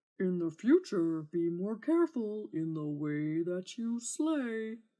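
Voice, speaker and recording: A female-sounding put-on character voice at a medium pitch for a woman, a fairly slow pace, and a quiet background. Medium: read story. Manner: whiny, demanding.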